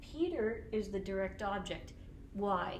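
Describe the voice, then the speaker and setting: With an American accent, a woman talks at a medium pitch over noticeable background noise and audible room echo. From US Northeast, Boston. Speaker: teacher. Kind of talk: lecture.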